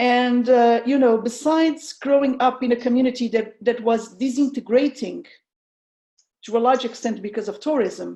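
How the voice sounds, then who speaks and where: Speaking with a strong Portuguese accent, a woman talks at a moderate pace in a high pitch and a dark, mellow tone with fairly even intonation. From Portugal, south (tourist region). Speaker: researcher. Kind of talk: online presentation. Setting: video call. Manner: halting.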